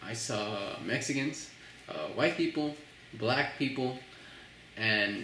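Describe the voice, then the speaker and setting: A man with a slight Filipino accent, plus audible room echo and noticeable background noise. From Philippines, Manila; moved to Texas around fourth grade. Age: 20s. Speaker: college student interviewee, immigrant. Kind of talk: interview. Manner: casual, many fillers and restarts.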